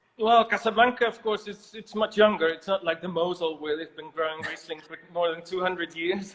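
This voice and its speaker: Amid noticeable background noise, a man speaks fairly quickly in a high pitch, with ordinary pitch variation and big swings in loudness. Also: hardly any pauses. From Netherlands. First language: Dutch. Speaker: winemaker. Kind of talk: interview.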